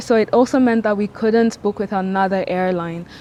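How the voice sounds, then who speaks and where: There is noticeable background noise behind a woman speaking. Her pitch is fairly high and her intonation fairly even. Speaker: travel vlogger. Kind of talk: casual vlog talk to camera. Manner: fast.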